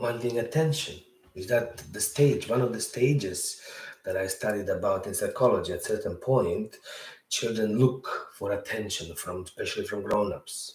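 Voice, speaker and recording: In a Bosnian accent, a man talks at a moderate pace. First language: Serbo-Croatian. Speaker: podcast host. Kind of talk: storytelling monologue. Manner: conversational, rambling with filler words.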